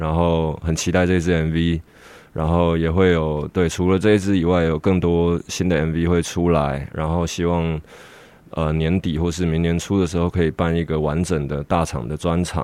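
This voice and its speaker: A man's very deep, low-pitched voice in a dark, mellow tone, monotone and flat at a moderate pace, over a quiet background. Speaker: rapper. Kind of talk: interview. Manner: halting.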